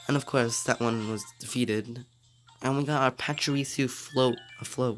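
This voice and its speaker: Moderate-paced speech with music in the background. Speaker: gaming YouTuber. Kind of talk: casual gameplay commentary.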